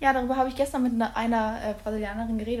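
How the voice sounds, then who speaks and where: Monotone, flat intonation marks this somewhat breathy voice. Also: woman. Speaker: podcast co-host, exchange student. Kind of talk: casual chat. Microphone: far from recorder at end.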